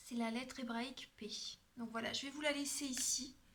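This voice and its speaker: A woman talks at a moderate pace in a high pitch. Her intonation is monotone and flat, and audible room echo surrounds it. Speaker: tarot card reader and energy healer. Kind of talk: tarot reading guidance.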